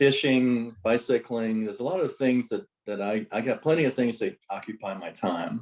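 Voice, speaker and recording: At a moderate pace and hardly pausing, a man speaks in an unremarkable speaking voice at a medium pitch with ordinary pitch variation. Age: 60s. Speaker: note investor. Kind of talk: interview.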